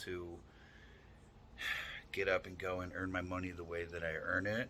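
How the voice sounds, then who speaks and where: With an American accent, a man speaks at a moderate pace in a very deep, low pitch and a bright, sharp tone. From New York. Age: 30s. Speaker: fitness influencer. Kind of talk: casual vlog monologue. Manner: halting.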